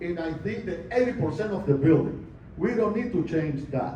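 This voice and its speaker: A speaker with a non-native accent is heard with audible room echo and noticeable background noise. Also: man. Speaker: condo owner at meeting. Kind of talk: community meeting question.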